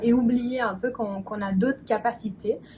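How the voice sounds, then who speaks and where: A woman with a normal speaking voice talks in a fairly even intonation. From Belgium. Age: 20s. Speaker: spiritual mentor. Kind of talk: interview answer.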